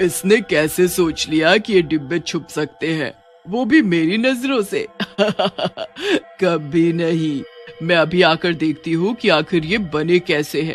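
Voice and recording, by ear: Faint music plays behind a man doing a cartoonish character voice at a high pitch and fairly slow pace.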